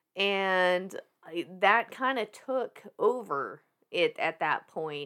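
A woman with a slight Southern US accent sounds animated on a very clean recording with a silent background. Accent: slight Southern US twang. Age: 30s. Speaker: fitness industry worker and massage therapist. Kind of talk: casual chat. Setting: podcast studio. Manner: animated, excitable.

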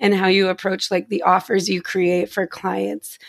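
At a moderate pace, a woman speaks with vocal fry. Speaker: therapist and business owner. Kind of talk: casual chat. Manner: rambling with many fillers.

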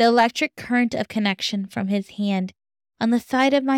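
On a very clean recording with a silent background, a woman speaks at a fairly high pitch with fairly even intonation. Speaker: author and podcast host. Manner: slow, emotive, dramatic, with pauses and tremulous urgency at the peak of the scene.

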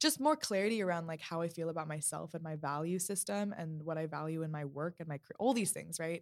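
On a very clean recording with a silent background, a woman with an ordinary speaking voice talks at a fairly quick pace, fairly low in pitch, with ordinary pitch variation. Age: 20s. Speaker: guest, host's younger sister. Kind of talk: casual chat. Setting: studio.

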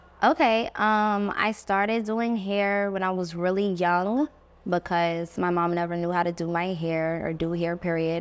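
In a very clean recording with a silent background, a woman with a normal speaking voice talks at a fairly slow pace with fairly even intonation. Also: medium pitch for a woman. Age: 20s. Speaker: hairstylist and school owner. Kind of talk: casual interview.

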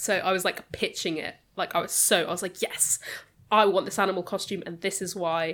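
A woman with a British accent speaks at a fairly quick pace in a medium pitch, her intonation flat and monotone, on a very clean recording with a silent background. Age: 20s.

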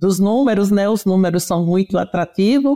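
A woman's mid-pitched voice has a dark, mellow tone, captured in a very clean recording with a silent background. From Pernambuco, Brazilian Northeast. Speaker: veterinarian and swine production consultant. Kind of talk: technical interview. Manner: animated.

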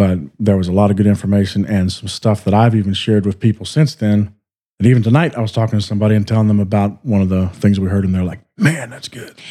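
Delivered at a very fast pace, this voice has a dark, mellow tone and fairly even intonation. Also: man, fairly low pitch for a man. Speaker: podcast co-host. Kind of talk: casual chat.

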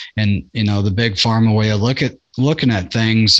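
A man with medium pitch and ordinary pitch variation has an ordinary speaking voice. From Nebraska. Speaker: podcast host. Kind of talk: casual chat.

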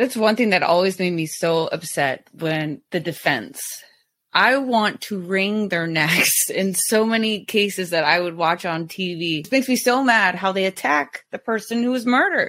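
A woman with an unremarkable speaking voice talks at a moderate pace in a medium pitch, her intonation lively. The recording is very clean, with a silent background. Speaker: podcast host. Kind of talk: casual chat.

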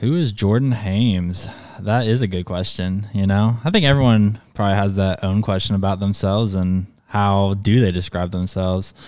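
At a moderate pace and with fairly even intonation comes a plain, everyday voice. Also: man, fairly low pitch for a man. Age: 20s. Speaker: guest filling in for co-host. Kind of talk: casual chat.

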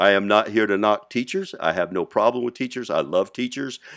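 Over a quiet background, an ordinary speaking voice carries lively intonation. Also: man. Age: 60s. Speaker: podcast host. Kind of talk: monologue.

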